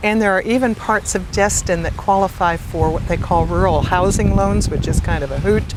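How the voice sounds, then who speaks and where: A woman talking at a fairly quick pace with hardly any pauses, amid audible room echo and noticeable background noise. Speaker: real estate broker. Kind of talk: interview. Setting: outdoors on a beach.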